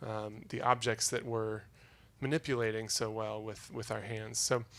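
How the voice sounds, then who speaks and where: A man's flat, monotone voice on a very clean recording with a silent background. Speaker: spacesuit designer, inventor. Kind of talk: talk to a live audience. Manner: slow enunciation; hesitant, many fillers.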